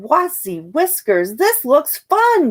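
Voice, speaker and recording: A woman puts on a character voice, pitched high and swinging very widely up and down. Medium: read story. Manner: earnest, eager.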